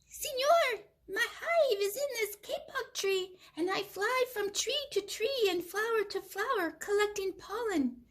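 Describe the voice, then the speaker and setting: A woman's squeaky, put-on character voice, extremely high in pitch, at a fairly slow pace. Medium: read story.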